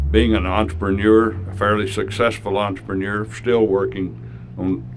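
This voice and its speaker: A man talks in a very deep, low voice. Room echo is audible. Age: 80s+. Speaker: philanthropist and donor. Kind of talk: speech at a public announcement.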